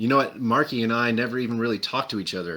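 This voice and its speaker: A man with an American accent speaks in a bright, sharp tone on a very clean recording with a silent background. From Texas. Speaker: paintball player. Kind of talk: podcast interview. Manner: hesitant, many fillers.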